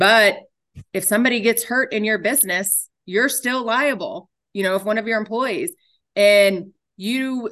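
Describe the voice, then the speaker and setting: Against a quiet background, a woman with an American accent and an ordinary speaking voice talks at a moderate pace with ordinary pitch variation. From Texas, Dallas area. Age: 40s. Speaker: insurance agent. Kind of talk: casual interview.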